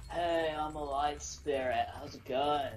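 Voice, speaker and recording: A put-on character voice at a low-to-middle pitch and fairly slow pace, with clear background noise. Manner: friendly, light.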